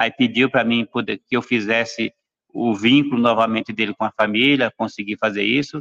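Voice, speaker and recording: A man talks at a moderate pace and a medium pitch with fairly even intonation. His tone is bright and sharp, and the sound is dry and close with no echo. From Brazil, São Paulo. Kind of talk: panel discussion testimony. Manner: hesitant, many fillers. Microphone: unstable internet connection.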